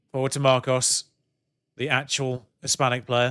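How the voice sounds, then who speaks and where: A man's bright, sharp voice in a British accent, medium in pitch, monotone and flat, at a fairly slow pace. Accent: British accent, noticeable to viewers. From UK. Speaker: video game streamer. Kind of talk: live game commentary on stream. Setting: live stream with headphones. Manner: casual, chatty.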